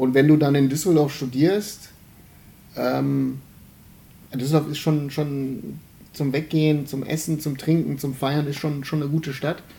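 Speaking at a fairly slow pace with long, frequent pauses, a man uses a fairly high, somewhat breathy voice with a dark, mellow tone and flat, monotone intonation. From Germany, Remscheid (Bergisches Land). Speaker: podcast host. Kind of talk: casual chat.

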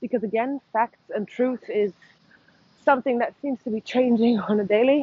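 This woman speaks at a high pitch with fairly even intonation. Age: 30s. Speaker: vlogger. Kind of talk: monologue vlog. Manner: hesitant, many fillers.

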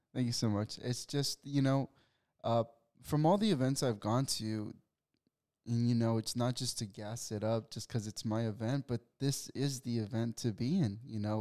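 Recorded very cleanly against a silent background, a man's dark, mellow voice sounds dry and close with no echo, showing ordinary pitch variation. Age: 20s. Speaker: salesman and networking executive. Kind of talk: interview. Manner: halting.

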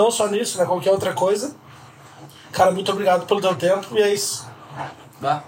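At a fairly quick pace broken by long, frequent pauses, a man with a high pitch and ordinary pitch variation speaks over noticeable background noise. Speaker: podcast host. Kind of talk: casual interview.

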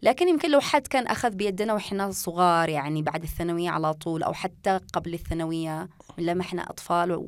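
Speaking in a Yemeni accent with hardly any pauses, a woman uses a fairly low pitch and ordinary pitch variation. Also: moderate pace. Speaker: podcast host. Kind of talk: casual chat. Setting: studio.

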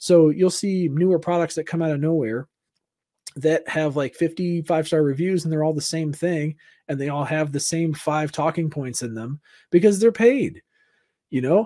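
With an American accent, a man speaks at a fairly high pitch in a dark, mellow tone, on a very clean recording with a silent background. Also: ordinary pitch variation, moderate pace. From Southern California. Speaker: content creator and streamer. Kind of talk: casual podcast interview.

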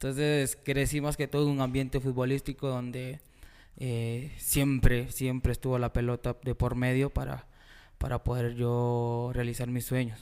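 A man's flat, monotone delivery at medium pitch and a fairly slow pace, on a very clean recording with a silent background. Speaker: football goalkeeper and coach. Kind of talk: casual interview.

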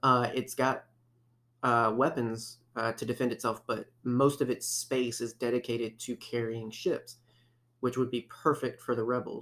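In an ordinary speaking voice, a man talks at a fairly slow pace with medium pitch and fairly even intonation. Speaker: podcast host. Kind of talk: casual chat. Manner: chatty, filler-heavy.

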